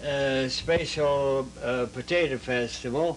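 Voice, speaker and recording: Very slow, monotone, flat delivery amid noticeable background noise. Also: man. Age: 80s+. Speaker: war veteran. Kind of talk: interview answer. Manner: hesitant, halting.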